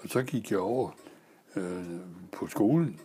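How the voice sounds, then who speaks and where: Here a man speaks at a very slow pace. His fairly low voice carries lively intonation. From Denmark, Næstved (Zealand). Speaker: retired sailor. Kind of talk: life story interview. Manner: halting, many fillers.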